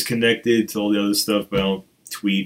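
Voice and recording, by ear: A man speaks at a moderate pace in a fairly low voice with fairly even intonation.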